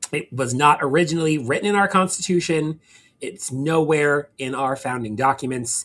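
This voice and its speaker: A plain, everyday voice: a man with a fairly high pitch and an American accent talks at a moderate pace with ordinary pitch variation. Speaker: law professor. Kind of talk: lecture.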